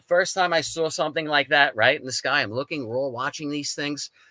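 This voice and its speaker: A man's fairly high voice at a fairly quick pace, animated in tone, on a very clean recording with a silent background. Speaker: paranormal experiencer, Coast Guard veteran. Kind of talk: testimony.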